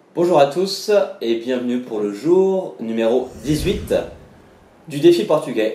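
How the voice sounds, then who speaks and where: There is audible room echo around a man's voice. His intonation is lively. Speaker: language vlogger, traveller. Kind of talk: vlog explainer. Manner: casual, many hesitations.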